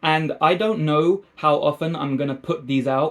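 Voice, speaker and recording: A man with a London accent talks at a fairly slow pace with ordinary pitch variation. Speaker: film review youtuber. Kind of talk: film review monologue. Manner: casual, chatty.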